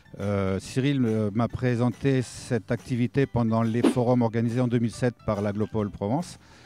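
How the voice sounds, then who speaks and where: Music plays in the background as a man with a medium pitch speaks. He keeps a moderate pace with hardly any pauses and very even loudness. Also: fairly even intonation, dry, close sound with no echo. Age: 60s. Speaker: retired petrochemical worker, volunteer mentor. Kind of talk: interview testimony. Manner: halting, many hesitations.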